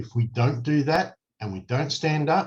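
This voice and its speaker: A man's somewhat breathy voice with an Australian accent. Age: 60s. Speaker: political candidate. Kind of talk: campaign address to camera. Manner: earnest, emphatic.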